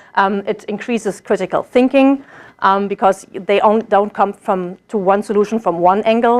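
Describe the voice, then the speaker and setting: A woman with a German accent speaks with fairly even intonation in a dry, close sound with no echo. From Germany. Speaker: German language teacher, graduate student. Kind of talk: presentation. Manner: hesitant, many fillers.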